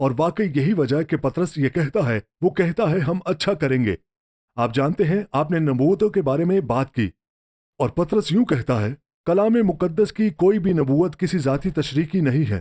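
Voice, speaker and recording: A man's fairly high pitch in a dark, mellow tone, lively intonation and very even loudness, with a dry, close sound and no echo. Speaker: pastor and TV show host. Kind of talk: sermon-style preaching conversation.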